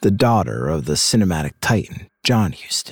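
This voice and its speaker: A man talks at a moderate pace in a very deep, low voice with vocal fry. His tone is theatrical, and his pitch swings very widely. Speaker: podcast host. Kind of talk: dramatic true-crime narration with a promo intro and outro. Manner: punchy, theatrical, wry storytelling; emphatic, sarcastic emphasis.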